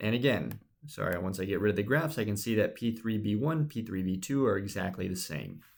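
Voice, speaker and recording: In a very clean recording with a silent background, a man talks fairly quickly in a normal speaking voice, fairly low in pitch with lively intonation. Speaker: instructor. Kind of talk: tutorial.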